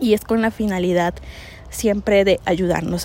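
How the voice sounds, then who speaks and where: A woman's medium-pitched voice in a monotone, flat intonation, with noticeable background noise. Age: 30s. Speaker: podcast host. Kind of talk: solo monologue.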